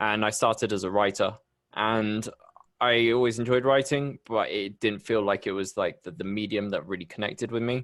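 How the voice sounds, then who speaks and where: The speaker has a British accent and a moderate pace. Pitch varies in an ordinary way over a quiet background. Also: man. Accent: UK. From England, Bristol. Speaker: podcast host. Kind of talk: interview.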